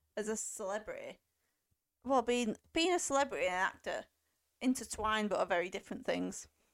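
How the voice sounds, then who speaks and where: With an English accent, a woman talks at a fairly quick pace with lively intonation. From England. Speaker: film podcast co-host. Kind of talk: casual chat.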